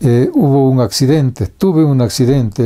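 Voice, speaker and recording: At a fairly slow pace, a man speaks in a dark, mellow tone at medium pitch with ordinary pitch variation. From Bolivia, Vallegrande province (rural). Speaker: writer, storyteller. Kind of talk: biographical interview. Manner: halting, many fillers.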